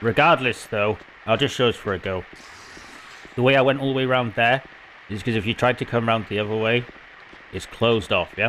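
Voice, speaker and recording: A man in a British accent speaks at medium pitch and a fairly quick pace, with fairly even intonation and long, frequent pauses. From Britain. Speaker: video game walkthrough creator. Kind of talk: gameplay commentary. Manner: casual, chatty.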